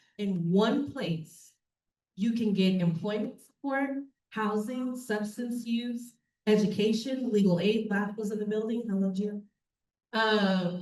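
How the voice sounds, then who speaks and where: A woman with a fairly high pitch and a somewhat breathy voice speaks at a fairly slow pace with ordinary pitch variation. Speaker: reentry program staff presenter. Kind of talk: public presentation. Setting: public meeting with in-person audience. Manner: casual, many fillers.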